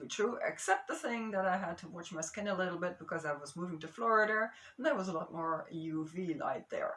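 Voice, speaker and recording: Noticeable background noise sits behind a woman speaking. Her pitch is medium and her pace fairly quick. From Amsterdam, Netherlands. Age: 60s. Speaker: geologist and marine biogeochemist. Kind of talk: casual talk to camera. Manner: mellow.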